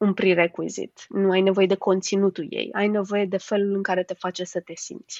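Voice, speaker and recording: In a dry, close recording with no echo, a woman at medium pitch talks in a flat monotone with hardly any pauses. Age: 30s. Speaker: HR manager and coach. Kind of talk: interview.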